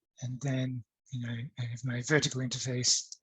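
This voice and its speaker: A man talks in a somewhat breathy voice. The background is quiet. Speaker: academic speaker on digital humanities; speaker. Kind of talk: conference talk with screen demo. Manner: hesitant, many fillers. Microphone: webcam.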